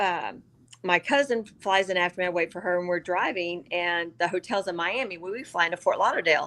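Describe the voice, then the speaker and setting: At a moderate pace and medium pitch, a woman speaks in a plain, everyday voice with ordinary pitch variation against a quiet background. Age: 60s. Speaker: business networker, veteran. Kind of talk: casual interview chat.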